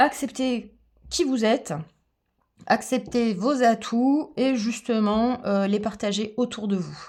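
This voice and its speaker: A woman speaks at a very slow pace, leaving long, frequent pauses. Her pitch shows ordinary variation. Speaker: tarot reader and aromatherapy coach. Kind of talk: tarot reading guidance. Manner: animated.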